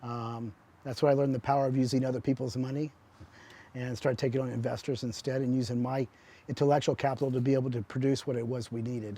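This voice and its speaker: With an American accent, a man rattles along at a very fast pace in a medium pitch, his dark, mellow tone held to a flat monotone. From Texas (Houston). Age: 60s. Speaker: business owner, former soldier, motivational speaker. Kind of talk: interview answers.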